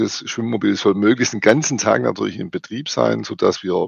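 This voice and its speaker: A man talks with vocal fry at a fairly low pitch and ordinary pitch variation. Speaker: foundation representative. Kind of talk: interview.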